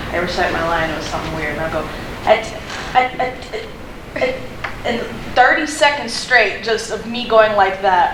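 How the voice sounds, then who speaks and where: The speaker's pitch swings very widely and their loudness rises and falls sharply, with long, frequent pauses at a moderate pace. There is audible room echo and noticeable background noise. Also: woman, fairly high pitch for a woman. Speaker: workshop presenter. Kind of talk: casual anecdote.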